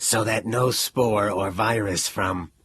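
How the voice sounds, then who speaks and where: Using a put-on character voice, a man sounds raspy. He talks at a fairly slow pace. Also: fairly low pitch for a man. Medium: read story. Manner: calculating monotone.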